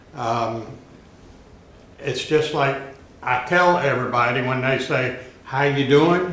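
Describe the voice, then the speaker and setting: A man speaks very slowly at medium pitch, with fairly even intonation and long, frequent pauses. Noticeable background noise and audible room echo fill the recording. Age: 80s+. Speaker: class participant. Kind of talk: casual sharing.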